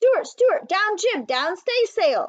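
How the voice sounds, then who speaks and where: A woman shouts loudly in a put-on character voice. Her pitch is extremely high. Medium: read story. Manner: loud, shouting.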